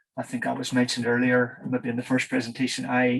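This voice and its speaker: A man speaks at a medium pitch. He talks with a Northern Irish accent. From Northern Ireland. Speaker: engineer, project manager. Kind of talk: conference presentation. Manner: halting with many fillers.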